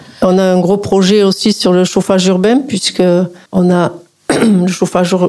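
A woman talks at medium pitch with monotone, flat intonation and very even loudness. Her pace is fairly slow, with long, frequent pauses. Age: 60s. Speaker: local politician. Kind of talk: radio interview. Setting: studio.

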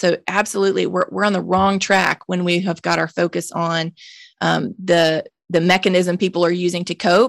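A woman with a Mississippi accent speaks at a moderate pace in a monotone, flat voice. The recording is very clean, with a silent background and dry, close sound with no echo. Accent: Southern US (Mississippi). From US South, Jackson, Mississippi. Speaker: nonprofit founder, drug policy advocate. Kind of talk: interview conversation.

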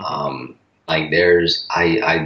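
A man speaks with a Southern US accent. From North Carolina. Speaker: strength coach. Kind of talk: casual chat. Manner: halting.

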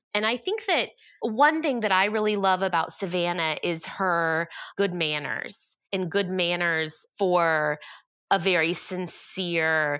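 A woman with a Southern US accent has a bright, sharp tone and fairly low pitch. Her pitch variation is ordinary, and the recording is very clean with a silent background. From US South, Georgia. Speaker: event designer and entrepreneur. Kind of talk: interview.

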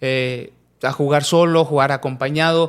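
In a central Mexican accent, a man speaks at a fairly slow pace on a very clean recording with a silent background. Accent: central Mexican, taken for Mexico City. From Mexico, Pachuca (Hidalgo). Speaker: professional footballer. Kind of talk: casual interview.

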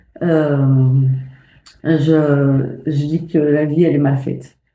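A woman with a dark, mellow tone speaks at a very slow pace, with audible room echo. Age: 50s. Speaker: mother of a cancer patient. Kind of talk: testimony. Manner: halting.

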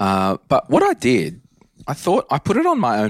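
Recorded dry and close with no echo, and very clean over a silent background, a man speaks with an Australian accent. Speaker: personal finance podcast host. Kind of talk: casual chat.

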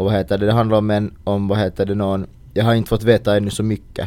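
A man talks at a fairly quick pace in a dark, mellow tone. His pitch shifts in an ordinary way. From Finland. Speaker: podcast co-host. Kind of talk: casual chat.

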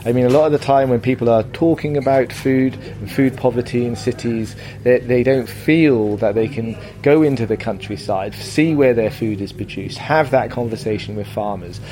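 Over music in the background, the voice moves at a fairly quick pace with ordinary pitch variation. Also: man, medium pitch for a man. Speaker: festival organiser. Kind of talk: interview answers.

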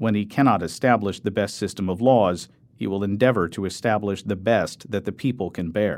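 A man's fairly low-pitched, ordinary speaking voice at a moderate pace, on a very clean recording with a silent background. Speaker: audiobook narrator. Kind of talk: audiobook-style reading aloud of 18th-century philosophical prose, measured and formal. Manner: formal.

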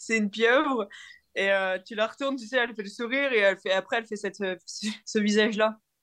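Fairly quick speech from a woman with a fairly high pitch and fairly even intonation, over a quiet background. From northern France (Nord). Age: 20s. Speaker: professional cyclist. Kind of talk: interview. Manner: halting, many repetitions.

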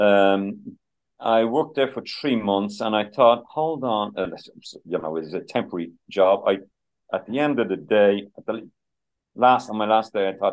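In a Dublin accent, a man speaks at a moderate pace and medium pitch with lively intonation. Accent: Dublin Irish. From Ireland, Dublin (Finglas, Glasnevin). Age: 60s. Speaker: musician and former chef. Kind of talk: interview. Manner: halting, many fillers.

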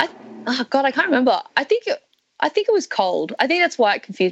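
A woman with an Australian accent, very fast pace and very wide pitch swings. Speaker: comedian. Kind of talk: casual chat. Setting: video call.

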